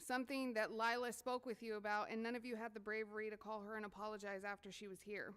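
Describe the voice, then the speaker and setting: Amid noticeable background noise, a woman with a fairly high voice rushes along at a very fast pace, flat and monotone, with hardly any pauses. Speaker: parent at public comment. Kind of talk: public comment speech. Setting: board meeting podium.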